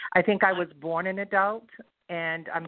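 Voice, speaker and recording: A woman talks at a moderate pace with fairly even intonation. It is an unremarkable speaking voice. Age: 60s. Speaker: author and publisher. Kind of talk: interview conversation.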